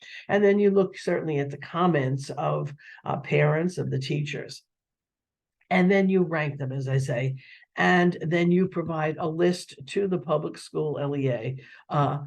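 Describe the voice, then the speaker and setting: A man speaks at a fairly slow pace in a somewhat breathy voice. His pitch is fairly high, with ordinary variation. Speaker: webinar presenter on federal education programs. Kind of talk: webinar presentation. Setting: online webinar. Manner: halting, many fillers.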